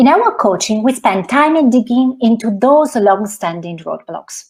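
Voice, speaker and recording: A woman with a high pitch talks at a fairly slow tempo, her intonation lively. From Italy. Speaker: financial coach. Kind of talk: talk to an audience.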